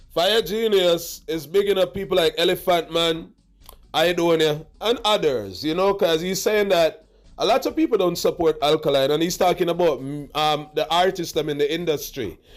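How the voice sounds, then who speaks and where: A man talks loudly at a high pitch. His pace is moderate and his pitch variation ordinary. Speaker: dancehall commentary vlogger. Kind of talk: reaction commentary. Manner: loud and emphatic.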